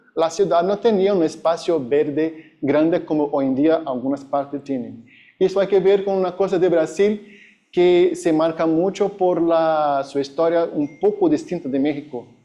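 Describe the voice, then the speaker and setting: The voice has a dark, mellow tone and a Brazilian accent. It moves at a fairly slow pace with ordinary pitch variation. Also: man, high pitch for a man. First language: Portuguese (speaking Spanish). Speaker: academic conference speaker. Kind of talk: conference presentation. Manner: halting.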